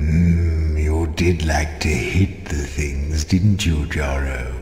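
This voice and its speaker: Very slowly, a man uses a put-on character voice with a very deep, low pitch and a clear echo. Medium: video game. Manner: dry, wry, musing.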